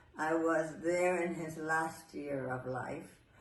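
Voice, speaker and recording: Audible room echo surrounds a woman with a very deep, low voice who speaks very slowly with ordinary pitch variation. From New York City. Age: 80s+. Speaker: Pilates teacher and former ballet dancer. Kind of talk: interview. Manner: halting.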